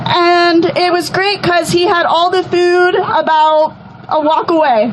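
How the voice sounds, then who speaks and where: A woman with an American accent and extremely high pitch speaks at a fairly slow pace, with very even loudness and ordinary pitch variation, over noticeable background noise. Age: 20s. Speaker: rally speaker. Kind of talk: testimony.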